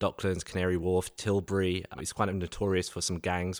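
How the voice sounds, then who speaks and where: A man with a London accent speaks at a fairly quick pace in a very deep, low pitch and a monotone, flat intonation. The recording is very clean and dry, with a close sound, no echo and a silent background. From East London, England. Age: 30s.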